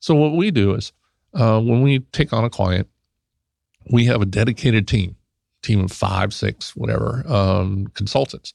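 Delivered at a moderate pace, the speech has a dry, close sound with no echo. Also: man. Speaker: IT consulting company president. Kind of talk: radio interview. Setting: studio.

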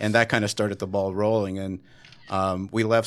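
Heard on a very clean recording with a silent background, a man with an unremarkable speaking voice talks at a fairly quick pace and fairly low pitch. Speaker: cosmetology educator. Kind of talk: radio interview. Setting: studio. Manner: casual, upbeat.

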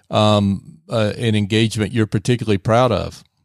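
A fairly low-pitched man with an unremarkable speaking voice, in a very clean recording with a silent background and a dry, close sound with no echo. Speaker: radio host. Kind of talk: interview. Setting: studio.

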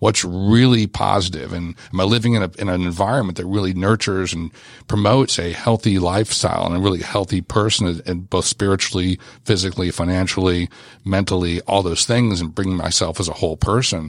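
Fairly quick and fairly even in intonation, a man with an American accent talks in a very deep, low pitch. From Southern California. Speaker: business owner. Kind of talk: radio interview. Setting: studio.

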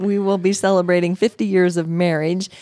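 A woman with a fairly low pitch talks at a moderate pace in a normal speaking voice. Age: 60s. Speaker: health coach and podcast host. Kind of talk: casual chat. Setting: studio.

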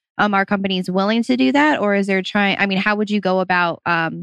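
A woman's normal speaking voice at medium pitch, with fairly even intonation and a fairly quick pace, in a dry, close sound with no echo. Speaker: radio host. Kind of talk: radio interview. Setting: radio studio.

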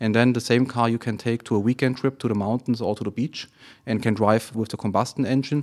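Fairly even intonation comes with a German accent at a fairly quick pace. The recording is very clean and the background silent. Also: man. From Germany, Friedrichshafen. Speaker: automotive plant manager. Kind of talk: business interview. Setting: studio. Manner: halting, many fillers.

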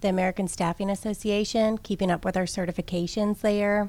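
Recorded very cleanly against a silent background, a woman with an unremarkable speaking voice talks at a medium pitch with fairly even intonation. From Minnesota and Georgia (moved as child). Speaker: staffing agency operations director. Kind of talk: radio interview. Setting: radio studio.

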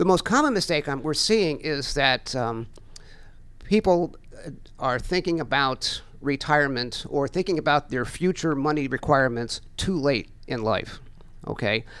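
On a very clean recording with a silent background, a man with a plain, everyday voice and an American accent talks at a moderate pace, his pitch fairly high with ordinary variation. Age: 60s. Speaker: financial educator. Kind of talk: radio interview. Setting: studio.

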